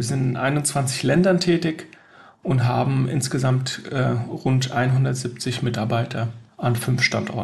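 A man at medium pitch, with fairly even intonation and a very slow pace. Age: 40s. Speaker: sustainability consultant. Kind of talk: interview.

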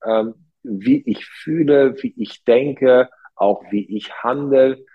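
A man talks at a medium pitch. His pace is very slow. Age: 40s. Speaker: hotel entrepreneur. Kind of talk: interview.

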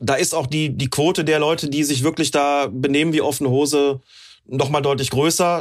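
A man with an unremarkable speaking voice talks at a moderate pace and fairly high pitch, with fairly even intonation. The recording is very clean, with a silent background. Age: 50s. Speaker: football referee and referee expert. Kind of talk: casual chat.

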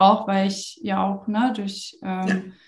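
A somewhat breathy woman at a fairly slow pace. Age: 30s. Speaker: social media consultant. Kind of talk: interview.

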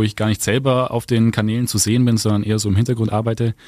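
Very fast and monotone, a man talks at medium pitch with flat intonation. The recording is very clean, with a silent background and a dry, close sound with no echo. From Augsburg, Bavaria. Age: 20s. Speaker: social media influencer. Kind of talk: casual interview. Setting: studio.

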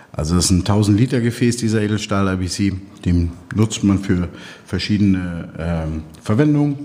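Through noticeable background noise, a man with a fairly low pitch talks at a fairly slow pace with ordinary pitch variation. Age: 50s. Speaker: logistics company owner. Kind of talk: interview.

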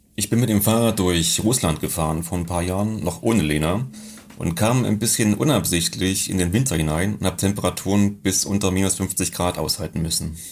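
A man with a very deep, low voice speaks at a fairly quick pace with ordinary pitch variation over noticeable background noise. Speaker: mountain guide. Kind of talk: interview.

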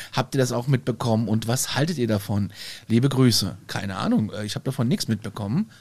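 A man talks at a very fast pace at medium pitch. His voice is somewhat breathy. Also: ordinary pitch variation. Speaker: podcast host. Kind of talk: casual chat. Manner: animated.

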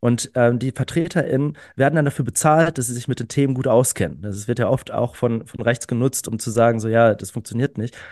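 An ordinary speaking voice from a man at medium pitch, fairly quick with hardly any pauses and ordinary pitch variation, in a dry, close sound with no echo and a quiet background. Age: 30s. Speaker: climate activist. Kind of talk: casual chat. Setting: online recording before live audience.

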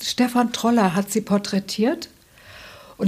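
A woman with a fairly high pitch, a normal speaking voice and ordinary pitch variation. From Hesse, Germany. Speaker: author and journalist. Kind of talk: interview. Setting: author's office.

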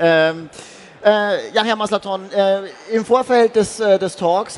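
A man speaks with lively intonation. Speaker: event talk host. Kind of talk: interview. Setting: stage at trade fair.

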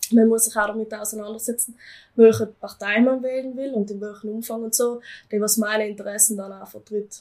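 The voice has a dark, mellow tone and a monotone, flat intonation at a moderate pace. Its loudness swings widely. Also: woman. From South Tyrol, Eisack valley. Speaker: farm youth leader and student. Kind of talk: casual interview.

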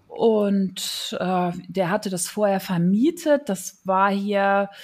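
Recorded very cleanly against a silent background, a woman speaks at a medium pitch, somewhat breathy. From Rhineland, Germany (Neuss, near Düsseldorf/Cologne). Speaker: TV scriptwriter. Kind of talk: interview, personal story. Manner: casual with many fillers.

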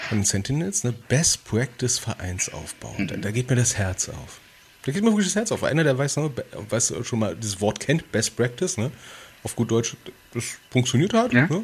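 Against noticeable background noise, the voice's pitch swings very widely. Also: man, medium pitch for a man, moderate pace. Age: 30s. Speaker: podcast co-host, civil servant. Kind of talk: casual chat. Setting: livestream video call.

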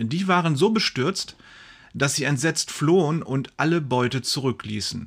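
A man speaks with lively intonation. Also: very clean recording, silent background. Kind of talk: sermon read aloud. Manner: solemn, fervent, dramatic preacher's delivery with emphatic exclamations; earnest and formal.

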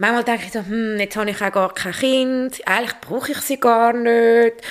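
A woman with a plain, everyday voice, fairly high in pitch, with ordinary pitch variation. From Switzerland, Zurich. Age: 40s. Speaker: environmental educator and garden writer. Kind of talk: personal interview.

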